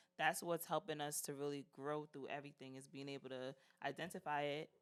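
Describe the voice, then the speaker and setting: A woman speaks in a New York accent with a very deep, low pitch. Her delivery is fairly quick with monotone, flat intonation. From New York (Brooklyn). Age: 30s. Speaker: podcast guest. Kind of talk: casual chat.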